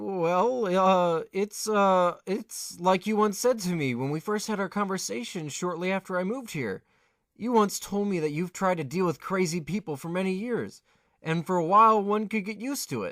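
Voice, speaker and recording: In a put-on character voice, someone talks at a moderate pace on a very clean recording with a silent background. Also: man, high pitch for a man. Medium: audio drama. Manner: stammering.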